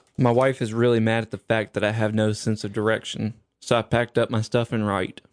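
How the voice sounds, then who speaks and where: A man at medium pitch talks at a fairly quick pace in a monotone, flat intonation, the sound dry and close with no echo. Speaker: guest, recurring. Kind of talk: casual chat, dad-joke contest.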